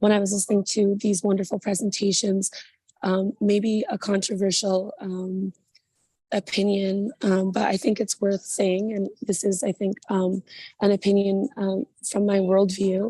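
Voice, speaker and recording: A woman with a medium pitch talks at a moderate pace in a dark, mellow, somewhat breathy tone. Her intonation stays monotone and flat. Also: dry, close sound with no echo. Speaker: burlesque performer, panelist. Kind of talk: panel discussion. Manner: hesitant, many fillers.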